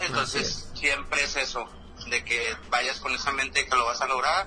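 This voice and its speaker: Noticeable background noise sits behind a man talking at a moderate pace. His intonation is fairly even. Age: 20s. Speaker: rapper. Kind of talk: casual interview.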